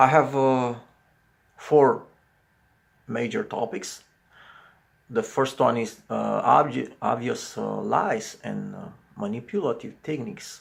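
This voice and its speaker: With a Romanian accent, a man talks at a very slow pace, with long, frequent pauses and big swings in loudness. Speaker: psychology commentator. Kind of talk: video commentary monologue. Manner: halting, many fillers.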